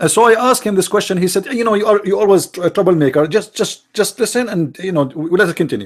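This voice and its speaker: With an Arabic accent, a man talks at a very fast pace with hardly any pauses, his pitch high with ordinary variation. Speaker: online religious commentator. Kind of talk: livestream commentary. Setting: live broadcast. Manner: halting, repetitive.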